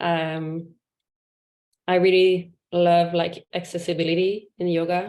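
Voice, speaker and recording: A woman speaks with a French Canadian accent. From Quebec. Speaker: yoga teacher. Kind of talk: casual introduction in a video call. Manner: halting, many fillers.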